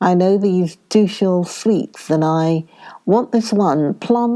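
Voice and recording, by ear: Ordinary pitch variation, reading aloud in a natural voice.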